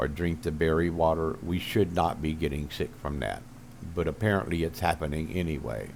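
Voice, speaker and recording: This man has a very deep, low pitch with ordinary pitch variation, a moderate pace and vocal fry. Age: 70s. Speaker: gaming video creator. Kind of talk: casual monologue to camera. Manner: halting, with many fillers.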